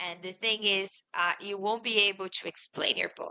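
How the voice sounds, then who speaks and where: With a Portuguese accent, a woman speaks at a medium pitch in a bright, sharp tone. Her intonation is monotone and flat. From Brazil. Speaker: fantasy author. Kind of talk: interview. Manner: halting.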